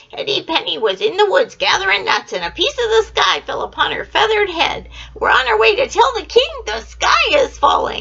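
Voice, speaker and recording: An extremely high-pitched, put-on character voice rattles along with hardly any pauses over light background noise. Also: moderate pace. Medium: read story.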